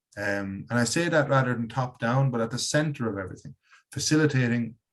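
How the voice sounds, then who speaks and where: Speaking at a very fast pace, a man with an Irish accent uses a medium pitch and ordinary pitch variation. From Ireland. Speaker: educator and workshop leader. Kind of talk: webinar presentation.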